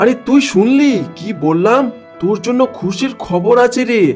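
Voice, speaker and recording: Over clear background music, a man performs a cartoonish character voice at an extremely high pitch and a moderate pace. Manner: jovial, bossy.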